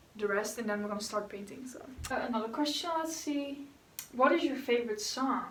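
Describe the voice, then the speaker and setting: A woman's fairly quick speech with ordinary pitch variation, audible room echo and noticeable background noise. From Netherlands. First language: Dutch. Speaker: YouTuber. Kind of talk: casual Q&A chat while painting.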